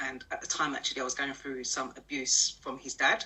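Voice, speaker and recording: A woman with a London accent speaks at a very deep, low pitch. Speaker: personal development coach. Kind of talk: interview. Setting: live stream.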